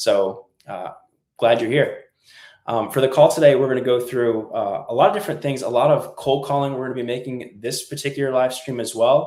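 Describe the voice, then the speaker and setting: A man talks at a fairly quick pace in an ordinary speaking voice. His pitch is medium, with ordinary variation. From New England, US. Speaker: musician for senior communities, channel host. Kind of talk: live stream tutorial. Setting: live stream. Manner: casual, with fillers.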